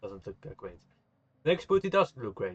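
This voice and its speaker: Music plays in the background while a man speaks. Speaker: video game youtuber. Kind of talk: gameplay tutorial. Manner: halting, many fillers.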